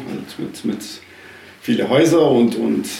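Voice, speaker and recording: A man talks at a moderate pace. Audible room echo and noticeable background noise run through the recording. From South Tyrol, Italy (Schnals valley). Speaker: arborist. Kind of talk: interview.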